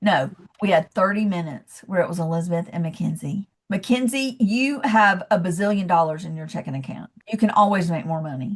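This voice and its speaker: In a Southern US accent, a woman speaks at a fairly quick pace with lively intonation and an animated, somewhat breathy tone. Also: medium pitch for a woman, big swings in loudness. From US South, Georgia (Athens). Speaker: leadership coach. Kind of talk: podcast interview.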